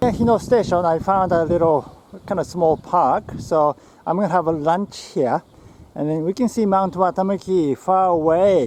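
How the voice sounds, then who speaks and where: This man talks at a moderate pace with a Japanese accent. His pitch is high, with ordinary variation. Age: 50s. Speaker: health author and biohacker. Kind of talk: casual talk to camera while walking. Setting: outdoors.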